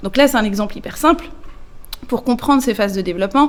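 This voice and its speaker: Her pitch sits fairly high for a woman. The variation in it is ordinary. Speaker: nonprofit executive director. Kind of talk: interview. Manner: hesitant, many fillers.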